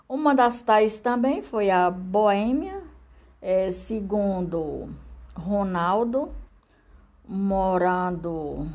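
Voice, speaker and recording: Speaking at a very slow pace, a woman leaves long, frequent pauses. Her medium-pitched voice has lively intonation and carries audible room echo. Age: 60s. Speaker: podcaster. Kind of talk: reading aloud. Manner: halting.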